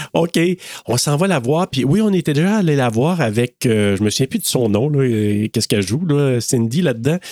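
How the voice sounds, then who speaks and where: A man with a Quebec accent talks at a moderate pace in an animated tone, with very wide pitch swings and very even loudness, in a dry, close sound with no echo on a very clean recording with a silent background. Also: medium pitch for a man. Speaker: podcast co-host. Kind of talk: casual chat.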